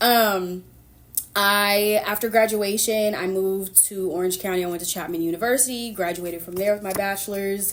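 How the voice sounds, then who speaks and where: An ordinary speaking voice with an American accent comes through. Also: woman, medium pitch for a woman, fairly even intonation, moderate pace. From Sacramento, California. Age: 30s. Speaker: podcast host. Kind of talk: casual chat.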